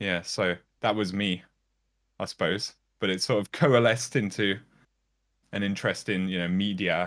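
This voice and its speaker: Recorded very cleanly against a silent background, a man speaks with a very deep, low pitch, fairly even intonation and a moderate pace. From Birmingham, English Midlands. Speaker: YouTuber. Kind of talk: interview. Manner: hesitant, many fillers.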